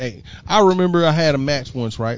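A man speaks in an ordinary speaking voice at a moderate pace. His intonation is lively. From Houston, Texas. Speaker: financial educator, fraternity member. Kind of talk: casual chat. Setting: home, on mics with headsets.

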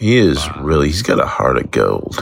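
Very deep and low in pitch, a man speaks with lively intonation. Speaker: listener leaving a voicemail. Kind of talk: voicemail message. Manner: casual, rambling with fillers.

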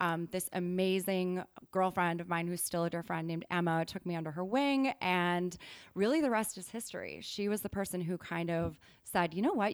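On a very clean recording with a silent background, a normal speaking voice with an American accent moves at a moderate pace. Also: woman, medium pitch for a woman, ordinary pitch variation. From Wisconsin. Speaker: PR consultant. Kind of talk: podcast interview.

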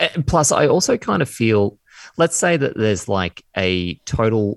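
In an Australian accent, a man speaks on a very clean recording with a silent background and a dry, close sound with no echo. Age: 30s. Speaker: former podcast co-host. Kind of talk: casual chat.

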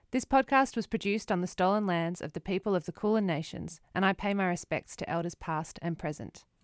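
Delivered at a fairly quick pace with hardly any pauses, this voice with an Australian accent shows ordinary pitch variation on a very clean, dry, close recording with no echo and a silent background. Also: woman, medium pitch for a woman. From Melbourne, Australia. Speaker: podcast host and composer. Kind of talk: scripted narration.

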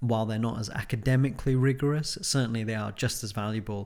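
A man with a plain, everyday voice, medium in pitch with ordinary variation, moves at a fairly quick pace on a very clean recording with a silent background. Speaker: podcast host and academic supervisor. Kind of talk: educational podcast discussion. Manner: conversational, filler-heavy.

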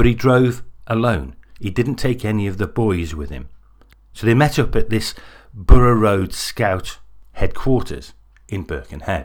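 At a fairly slow pace and medium pitch, a man speaks in a serious, dramatic tone with vocal fry, lively intonation, big swings in loudness and long, frequent pauses. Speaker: podcast host and narrator. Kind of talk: true-crime narration, scripted. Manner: measured, serious storytelling with dramatic build-up.

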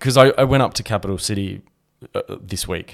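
The recording is very clean, with a silent background. A man with an Australian accent speaks with ordinary pitch variation. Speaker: podcast co-host. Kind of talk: casual chat.

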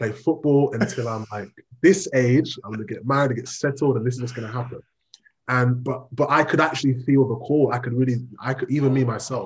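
Somewhat breathy, a man with medium pitch talks at a fairly quick pace with ordinary pitch variation. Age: 30s. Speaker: pastor and social worker. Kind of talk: interview. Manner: calm, laid back.

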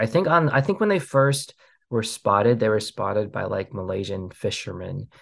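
A man with a General American accent at a moderate pace against a quiet background. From US Pacific Northwest. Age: 40s. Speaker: documentary filmmaker. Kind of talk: interview. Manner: hesitant, many fillers and restarts.

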